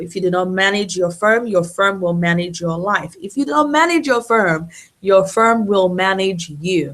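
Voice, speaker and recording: A woman with a plain, everyday voice speaks at a moderate pace, her medium pitch showing ordinary variation. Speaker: lawyer running a webinar. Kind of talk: webinar presentation. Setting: online webinar.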